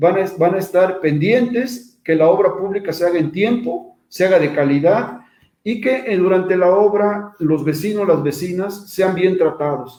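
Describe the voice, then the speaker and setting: Speaking at a fairly slow pace with hardly any pauses, the man has a high pitch and a dark, mellow tone. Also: ordinary pitch variation. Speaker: invited speaker on social oversight of public works. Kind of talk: online lecture with slides. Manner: repetitive, halting restarts.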